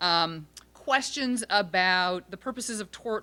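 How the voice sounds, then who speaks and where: A woman speaks loudly in a bright, sharp tone with lively intonation. The recording is very clean, with a silent background. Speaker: law professor and author. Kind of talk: panel discussion talk. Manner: hesitant, many fillers.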